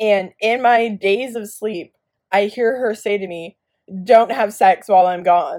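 A normal speaking voice at a fairly slow pace, with ordinary pitch variation and big swings in loudness. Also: woman, fairly high pitch for a woman. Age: 20s. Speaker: podcast co-host, daughter. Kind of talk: casual chat.

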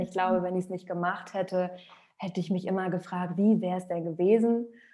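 Against a quiet background, a woman with a dark, mellow tone speaks in a flat monotone at a moderate pace. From Rostock, northern Germany. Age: 30s. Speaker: singer and former talent show finalist. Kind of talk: interview. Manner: hesitant with fillers.

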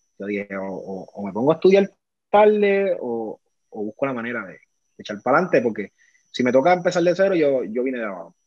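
A man in a Puerto Rican accent, medium in pitch, with very wide pitch swings, big swings in loudness, a fairly quick pace broken by long, frequent pauses, and a dry, close sound with no echo. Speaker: former pro baseball player. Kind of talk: casual interview.

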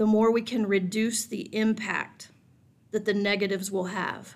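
On a very clean recording with a silent background, a woman with fairly high pitch speaks in a normal speaking voice. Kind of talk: guided meditation. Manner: slow, calm, soothing, gently paced with pauses.

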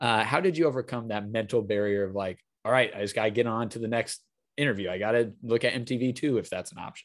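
A man's medium-pitched voice with an American accent, ordinary pitch variation and a very fast pace, on a very clean recording with a silent background. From Wisconsin. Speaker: podcast host. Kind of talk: interview.

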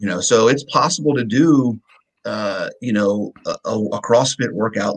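A man talks at a moderate pace and medium pitch in an unremarkable speaking voice, the sound dry and close with no echo. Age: 40s. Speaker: fitness coach. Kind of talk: casual chat.

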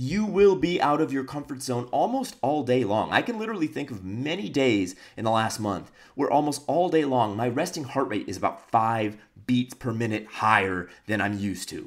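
An animated tone with an American accent, very wide pitch swings and a moderate pace. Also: man, medium pitch for a man. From United States. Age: 20s. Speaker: entrepreneur and video blogger. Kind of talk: vlog monologue.

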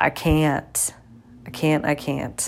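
A woman's animated tone. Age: 30s. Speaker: podcast host. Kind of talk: personal monologue.

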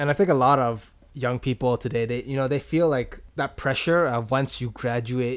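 A man with a Canadian accent talks at a fairly quick pace in an unremarkable speaking voice, medium in pitch. The recording is very clean, with a silent background. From Canada, Toronto. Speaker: podcaster. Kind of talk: casual chat.

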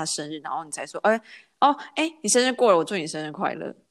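Lively intonation marks this woman's speech on a very clean recording with a silent background. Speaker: podcast host. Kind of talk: casual chat.

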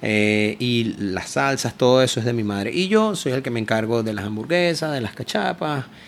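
At a fairly slow pace, a man with a Caracas accent speaks at medium pitch. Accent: Venezuelan Spanish (Caracas). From Venezuela, Caracas. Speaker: food truck owner. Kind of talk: casual interview.

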